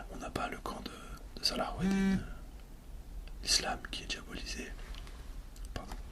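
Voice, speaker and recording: A man whispers at a fairly slow pace with long, frequent pauses. Noticeable background noise is present. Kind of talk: ASMR soft-spoken film talk. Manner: soft-spoken.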